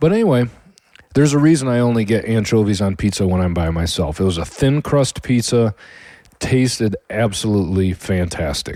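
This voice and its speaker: A man's fairly low voice in an American accent, dark and mellow in tone, with lively intonation. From Michigan, US Midwest. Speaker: podcast host, home cook. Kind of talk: casual monologue. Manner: halting.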